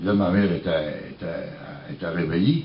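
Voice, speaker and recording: A man's voice swings very widely in pitch. Room echo is audible. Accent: Quebec. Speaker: singer-songwriter. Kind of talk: storytelling.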